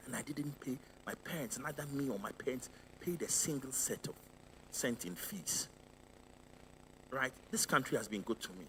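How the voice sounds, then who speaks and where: Using lively intonation and vocal fry at medium pitch, a man talks at a moderate pace broken by long, frequent pauses. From Ghana. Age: 60s. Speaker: finance executive and lecturer. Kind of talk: Q&A after a public lecture. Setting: live event with audience.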